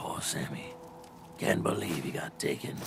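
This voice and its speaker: A put-on character voice at a moderate pace, over clear background noise. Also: man. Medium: machinima. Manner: bitter, curt.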